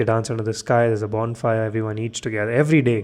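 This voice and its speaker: A man with a fairly low pitch talks at a very fast pace. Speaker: podcast host. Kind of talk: late-night solo podcast monologue. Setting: home studio, lights off. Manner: monotonous, droning; sleepy, low-energy.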